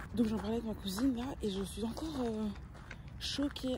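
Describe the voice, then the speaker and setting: With noticeable background noise behind her, a woman speaks at a moderate speed, her pitch varying in an ordinary way. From Brussels, Belgium. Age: 20s. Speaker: vlogger. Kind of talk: casual vlog talk to camera. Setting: outdoors, walking. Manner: animated; halting, many fillers.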